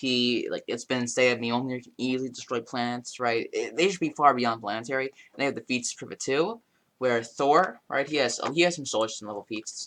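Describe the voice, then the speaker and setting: A man talks at a fairly quick pace, at medium pitch with ordinary pitch variation and hardly any pauses. His loudness swings widely over a quiet background. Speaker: youtuber discussing comic character matchups. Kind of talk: casual monologue commentary. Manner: fast; halting, many false starts.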